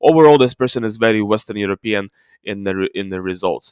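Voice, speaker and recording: A man with a non-native accent and a medium pitch, at a fairly quick pace, with ordinary pitch variation, in a dry, close sound with no echo and a very clean recording over a silent background. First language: not English. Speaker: ancient DNA video creator. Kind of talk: screen-share tutorial. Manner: halting, many fillers.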